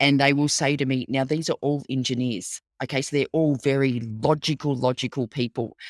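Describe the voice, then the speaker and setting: A woman with an Australian accent speaks in a very deep, low pitch at a moderate pace with hardly any pauses, fairly even intonation and very even loudness, in a dry, close recording with no echo that is very clean with a silent background. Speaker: storytelling consultant and author. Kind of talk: interview.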